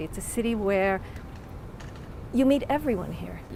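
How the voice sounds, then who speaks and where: A woman with an American accent at a moderate pace, ordinary pitch variation, noticeable background noise behind her. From United States. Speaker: museum director. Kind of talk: interview.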